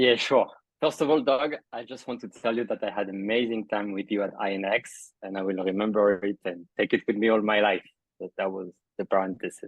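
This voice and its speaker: A man with a French accent, fairly low in pitch, with ordinary pitch variation and a fairly quick pace. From France. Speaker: crypto entrepreneur. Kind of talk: interview.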